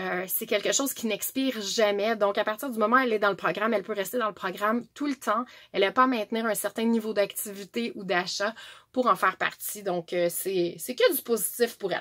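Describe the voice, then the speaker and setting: A woman with a Quebec accent, fairly high in pitch, at a fairly quick pace and with fairly even intonation. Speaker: direct sales presenter. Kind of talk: tutorial.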